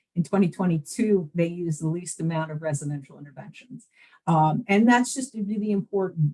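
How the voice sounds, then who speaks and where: In a New Jersey accent, a woman with a fairly low pitch, ordinary pitch variation and a dark, mellow, somewhat breathy tone is heard in a dry, close sound with no echo. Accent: New Jersey American. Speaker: behavioral health system presenter. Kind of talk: webinar presentation. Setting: online webinar.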